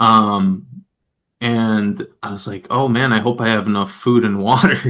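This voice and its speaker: A man speaks in a bright, sharp tone with fairly even intonation. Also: medium pitch for a man, fairly slow pace, big swings in loudness. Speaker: fat bike ultra racer. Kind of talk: casual chat.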